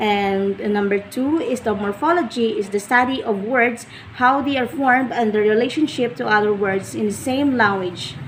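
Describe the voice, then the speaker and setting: A woman with a Visayan Filipino accent and a fairly high pitch, hardly any pauses, over noticeable background noise. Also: ordinary pitch variation, moderate pace. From Philippines, Ilonggo-speaking region. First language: Ilonggo. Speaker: education student. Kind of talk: class presentation. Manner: halting.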